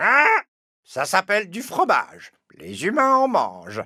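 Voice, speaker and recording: A cartoonish character voice at a fairly high pitch and a fairly slow pace. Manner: haughty, curt.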